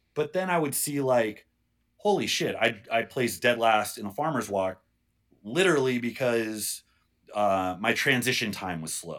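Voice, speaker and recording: A man's normal speaking voice at medium pitch, moderate pace and lively intonation, on a very clean recording with a silent background. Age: 30s. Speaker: strongman competitor and strength coach. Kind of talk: casual chat.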